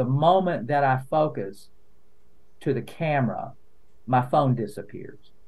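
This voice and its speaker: The speaker has an Appalachian accent and ordinary pitch variation. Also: man. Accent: Appalachian Southern US. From eastern Kentucky, Appalachia. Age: 60s. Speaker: lawyer and content creator. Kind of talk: podcast interview. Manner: casual, conversational with fillers.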